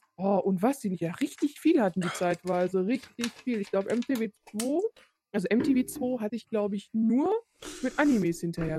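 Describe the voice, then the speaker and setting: Somewhat breathy, a woman speaks at a moderate pace with fairly high pitch and very wide pitch swings, in a dry, close sound with no echo. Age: 30s. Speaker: podcast co-host. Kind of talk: casual chat.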